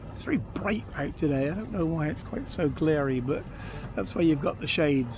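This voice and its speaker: At a fairly quick pace, a man with a fairly high pitch speaks with lively intonation amid audible room echo. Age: 60s. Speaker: vlogger living on a boat. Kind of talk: casual monologue vlog. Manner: halting, many fillers.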